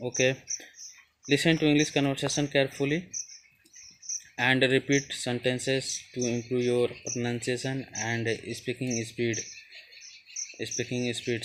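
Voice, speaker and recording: A man talks at a fairly slow pace and a medium pitch, with long, frequent pauses. His intonation is monotone and flat. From India, Uttar Pradesh. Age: young. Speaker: student / English-learning YouTuber. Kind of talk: tutorial. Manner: halting, hesitant with fillers and repetitions.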